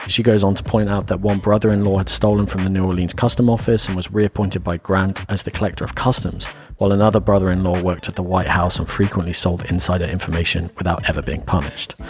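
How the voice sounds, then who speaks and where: Talking at a very fast pace with hardly any pauses, a man with an English accent uses a very deep, low pitch and ordinary pitch variation over noticeable background noise. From England. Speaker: podcast host. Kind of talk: casual podcast discussion with researched facts. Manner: reading notes.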